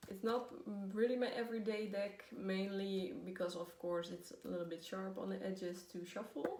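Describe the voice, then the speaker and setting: Someone with a Dutch accent speaks at a moderate pace with ordinary pitch variation. Audible room echo and noticeable background noise are present. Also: woman, medium pitch for a woman. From Netherlands. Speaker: tarot reader. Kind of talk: casual video talk. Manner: hesitant, many fillers.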